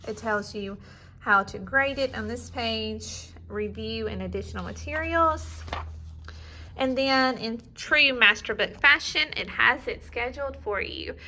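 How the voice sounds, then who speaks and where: A woman at a fairly slow pace with a slight Southern US accent and big swings in loudness. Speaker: homeschool curriculum reviewer. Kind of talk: product walkthrough. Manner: casual, conversational.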